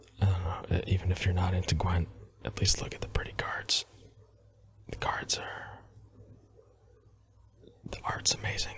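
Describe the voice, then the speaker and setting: Whispering at a moderate pace, broken by long, frequent pauses, over noticeable background noise. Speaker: ASMR creator. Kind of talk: casual gameplay commentary. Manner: soft-spoken.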